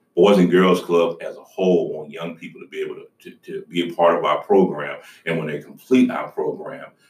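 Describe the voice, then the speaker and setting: Speaking at a fairly quick pace with a Southern US accent, a man shows big swings in loudness. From Georgia. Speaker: nonprofit chief executive. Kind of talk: interview.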